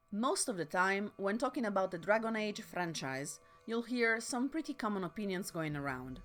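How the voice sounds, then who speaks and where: With music in the background, a woman with a non-native accent talks at a moderate pace and medium pitch, her voice making very wide pitch swings. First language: not English. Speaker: video essayist. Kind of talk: video essay narration.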